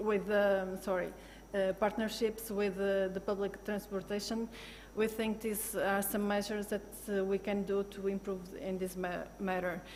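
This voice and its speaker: With a non-native accent, a woman talks at a medium pitch. Her intonation is monotone and flat. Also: moderate pace. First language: not English. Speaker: football club sustainability manager. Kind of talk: panel discussion. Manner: halting, many fillers and restarts.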